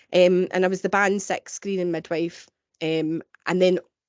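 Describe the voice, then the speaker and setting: A woman speaks at a medium pitch with a strong Glaswegian accent. Her intonation is monotone and flat. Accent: thick Glaswegian. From Scotland, Glasgow. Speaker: midwife. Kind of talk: webinar presentation.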